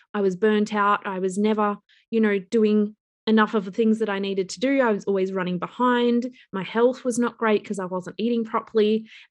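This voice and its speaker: Talking at a fairly quick pace against a quiet background, a woman with an Australian accent has a fairly high pitch and monotone, flat intonation. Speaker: business coach and entrepreneur. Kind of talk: interview podcast.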